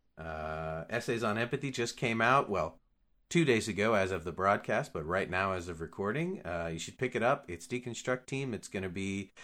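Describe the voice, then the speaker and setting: Here is a man with an ordinary speaking voice. His delivery is moderately paced, and his intonation is lively. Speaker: podcast co-host. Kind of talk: casual chat.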